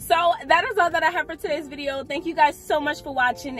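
A woman talking at a very fast pace, with faint music in the background. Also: dry sound with no echo. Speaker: food reviewer vlogger. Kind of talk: casual vlog chat. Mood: embarrassed, amused. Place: car. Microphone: phone near.

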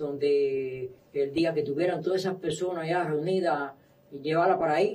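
A man's high-pitched voice. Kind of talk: interview answer. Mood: subdued, flat recounting.

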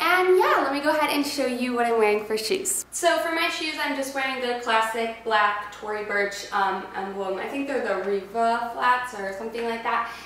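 A woman with a fairly high pitch speaks at a moderate pace with few pauses and ordinary pitch variation, and audible room echo surrounds her voice.

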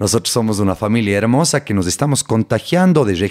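A man with a plain, everyday voice speaks at a fairly quick pace, medium in pitch, with lively intonation. The recording is very clean, with a silent background and a dry, close sound without echo. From Ecuador, Cuenca. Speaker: neuroscientist. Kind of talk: interview.

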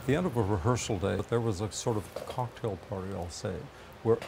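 A man with a fairly low voice uses a normal speaking voice and ordinary pitch variation, with light background noise behind him. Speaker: interviewed actor. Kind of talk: interview answer. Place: workshop. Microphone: lapel.

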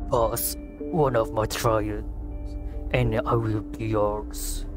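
A man's raspy, put-on character voice at a very slow pace over loud music in the background

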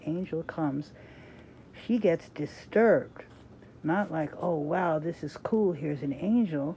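A woman speaks at a fairly slow pace in a fairly low pitch, with a dark, mellow tone. Her pitch varies in an ordinary way, and there is light background noise. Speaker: reader sharing a devotional book. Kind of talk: reading aloud with casual comments. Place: home room. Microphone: phone near.

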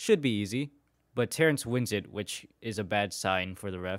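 Speaking at a moderate pace on a very clean recording with a silent background, a man sounds animated, with lively intonation. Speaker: sports video commentator. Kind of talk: sports play-by-play recap with sarcastic commentary over game clips. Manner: animated, wry and sarcastic.

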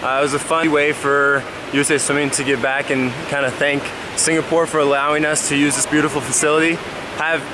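Fairly quick talk from a man, noticeable background noise underneath. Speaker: athlete vlogger. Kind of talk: casual vlog chat. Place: hall. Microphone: phone near.

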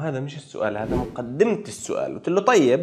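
Over a quiet background, a man talks at a moderate pace with very wide pitch swings. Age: 40s. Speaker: project management professional / YouTuber; YouTuber. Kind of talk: casual storytelling monologue. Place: home room. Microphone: lapel.

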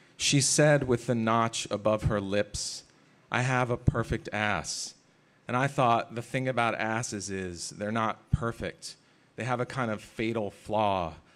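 Music plays in the background as a man speaks at medium pitch and a fairly slow pace. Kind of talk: poetry reading to a live audience, casual banter between poems. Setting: stage with audience at a literary festival. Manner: animated, wry and self-deprecating, conversational between poems; deadpan, measured and dreamy when reading poems.

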